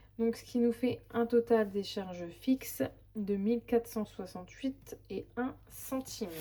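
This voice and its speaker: The woman's voice sits fairly high, and its pitch varies in an ordinary way. She talks very slowly. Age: 30s. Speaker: budget vlogger, single mother. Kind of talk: casual budget walkthrough. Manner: hesitant, many fillers.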